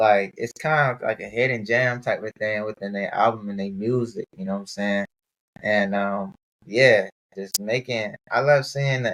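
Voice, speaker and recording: In a plain, everyday voice, a man with an American accent speaks at a medium pitch and a moderate pace. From Maryland. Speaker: podcast host. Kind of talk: casual interview.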